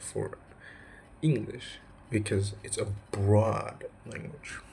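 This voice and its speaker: Here is a man speaking with an Indonesian accent. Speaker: student. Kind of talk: vlog. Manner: casual, filler-heavy.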